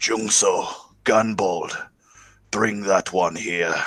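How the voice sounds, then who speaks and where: In a put-on character voice, a man talks very slowly at a fairly low pitch, gravelly and raspy, with fairly even intonation. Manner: commanding, unkind.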